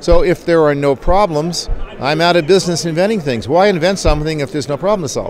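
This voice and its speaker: Over noticeable background noise, a man with a high pitch and lively intonation talks at a moderate pace. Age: 60s. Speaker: skydiving gear inventor and company owner. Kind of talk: casual interview. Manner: relaxed, conversational.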